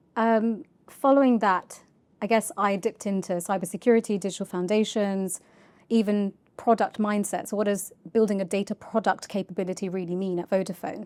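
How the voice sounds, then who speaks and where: The very clean recording has a silent background and features a woman with a London accent. She talks at a fairly quick pace and medium pitch with fairly even intonation. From North London, England. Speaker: charity data executive. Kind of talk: podcast interview.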